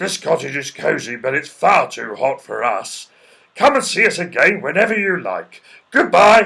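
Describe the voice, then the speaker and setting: A man puts on a character voice. His pitch sits high. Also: moderate pace. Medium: read story.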